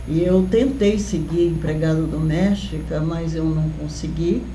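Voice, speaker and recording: A woman speaks very slowly amid noticeable background noise and audible room echo. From Brazil, interior of São Paulo state (Lins). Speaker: professor. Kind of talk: interview.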